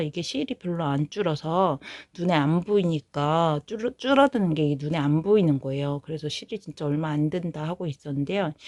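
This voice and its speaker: On a very clean recording with a silent background, a woman with a fairly low pitch speaks at a moderate pace with ordinary pitch variation. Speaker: knitting vlogger. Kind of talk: casual vlog chat.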